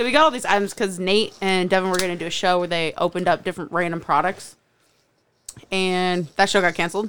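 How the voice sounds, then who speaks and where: Over a very clean recording with a silent background, a woman talks at a very fast pace. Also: medium pitch for a woman, ordinary pitch variation. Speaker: podcast co-host. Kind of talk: casual chat.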